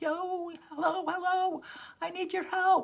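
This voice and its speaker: A woman's put-on character voice, shrill and extremely high in pitch, with monotone, flat intonation at a fairly slow pace. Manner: calling out for help.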